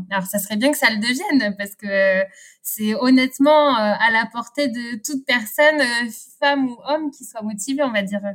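Her pitch fairly high and its variation ordinary, a woman is talking. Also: moderate pace. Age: 30s. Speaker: winegrower. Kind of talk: interview. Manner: halting.

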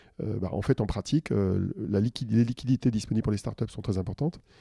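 A man speaks at a fairly quick pace in a fairly low, dark, mellow voice that is somewhat breathy, with ordinary pitch variation. The sound is dry and close with no echo, on a very clean recording with a silent background. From Paris region, France. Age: 50s. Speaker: tech consultant and author. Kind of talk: interview conversation.

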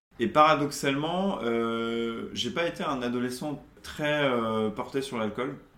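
Amid noticeable background noise and audible room echo, a man of medium pitch speaks with lively intonation. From Charente-Maritime, western France. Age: 30s. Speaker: recovering alcoholic, creative consultant. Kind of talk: testimony interview. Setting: at his home apartment.

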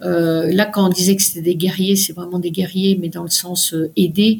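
Somewhat breathy, a woman's voice keeps a fairly even intonation. She talks at a moderate pace. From France, Paris. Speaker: mountaineer and doctor. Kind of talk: interview. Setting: remote recording.

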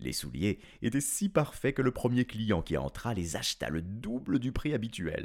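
This is plain reading aloud. The words are read out as written.

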